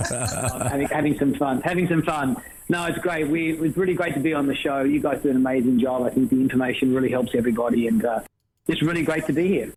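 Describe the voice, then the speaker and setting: Speaking very fast, a man uses a fairly high pitch with ordinary variation. He has an Australian accent and very even loudness. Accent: Australian, noticeable. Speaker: company founder and CEO. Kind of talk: interview.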